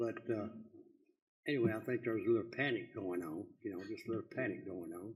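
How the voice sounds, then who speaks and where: Audible room echo surrounds this man's voice. He talks at a very fast pace with a Texan accent. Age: 80s+. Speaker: citizen speaker. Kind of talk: public comment at council meeting. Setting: city council meeting.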